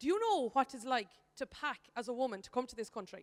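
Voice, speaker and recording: In an Irish accent, a woman speaks with a high pitch. Her intonation is lively and her pace fairly quick. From Ireland. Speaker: economist. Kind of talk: conference speech.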